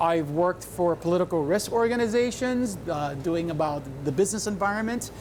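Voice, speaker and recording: A man's high, lively voice at a fairly quick pace, with noticeable background noise. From Puerto Rico, raised in South Florida. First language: Spanish. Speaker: talk show guest. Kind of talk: casual chat. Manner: animated.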